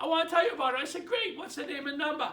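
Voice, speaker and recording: A raised, projected voice in a Boston accent carries a bright, sharp tone and an animated tone. The intonation is lively, and room echo is audible. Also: man. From Boston, Massachusetts. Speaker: real estate trainer. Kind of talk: training talk. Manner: animated, conversational.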